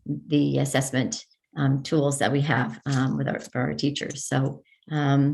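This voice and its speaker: This is a woman with a very deep, low pitch. Vocal fry runs through her voice. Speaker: school administrator presenting data. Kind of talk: presentation at a school board meeting. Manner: halting, many fillers.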